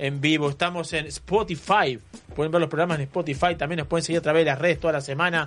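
High-pitched male speech with ordinary pitch movement. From Uruguay, Canelones coast. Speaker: radio host. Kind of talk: live radio talk show. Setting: radio studio. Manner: animated.

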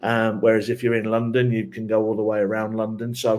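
A man speaks with an English accent. The recording is very clean, with a silent background. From England. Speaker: soccer assistant coach. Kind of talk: interview.

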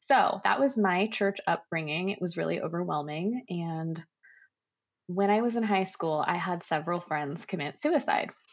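With an American accent, a woman talks at a moderate pace and medium pitch in an unremarkable speaking voice, her intonation lively against a quiet background. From Oregon, US. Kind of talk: casual interview.

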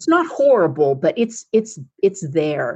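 A woman talks at a fairly slow pace. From United States. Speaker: speaker, author and coach. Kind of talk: guided meditation; interview. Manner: animated.

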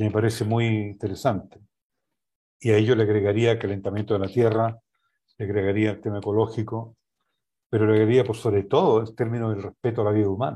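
A man talks very fast in a fairly low, dark, mellow voice with a monotone, flat intonation. He leaves long, frequent pauses against a quiet background. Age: 70s. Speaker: sociologist and UN official. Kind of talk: political analysis discussion.

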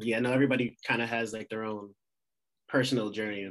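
Fairly low-pitched male speech with an American accent, a fairly quick pace and fairly even intonation. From Pennsylvania. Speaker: physical therapy student, podcast host. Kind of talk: interview.

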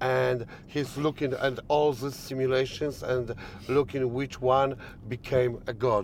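With a Polish accent, a man talks in a flat monotone at a medium pitch over noticeable background noise. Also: fairly slow pace. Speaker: podcast host. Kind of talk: interview. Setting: in a car. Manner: halting.

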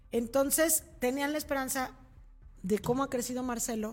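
Moderate pace and a somewhat breathy sound from a woman. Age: 40s. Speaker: news anchor. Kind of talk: news show with casual commentary. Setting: studio, live stream.

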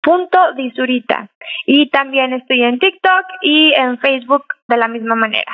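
A woman's high-pitched voice at a fairly slow pace, with ordinary pitch variation and very even loudness. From Mexico. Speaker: painter. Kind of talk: interview.

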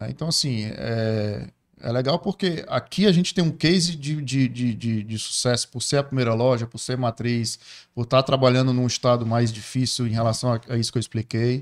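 A man speaks in an ordinary speaking voice at a medium pitch. His pitch variation is ordinary and his pace moderate. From Ceará, Brazil. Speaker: entrepreneur. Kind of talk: casual interview chat.

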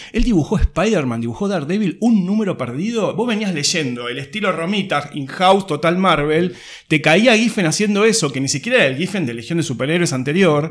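Speaking at a fairly quick pace with hardly any pauses, a man uses a high pitch and lively intonation. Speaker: comics expert. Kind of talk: casual chat.

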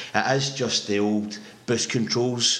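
With a Scottish accent, a man speaks at a medium pitch over noticeable background noise. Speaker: podcast co-host. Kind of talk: casual chat. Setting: home microphone.

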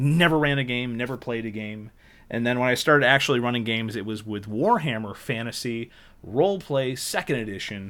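His pitch is medium and varies in an ordinary way, in a normal speaking voice. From northern New York. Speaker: podcast host. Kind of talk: casual chat.

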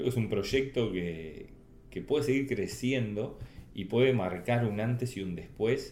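A man's fairly low voice with lively intonation at a moderate pace, with audible room echo. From Uruguay. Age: 50s. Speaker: Olympic sailor. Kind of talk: interview. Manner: halting, repeats words.

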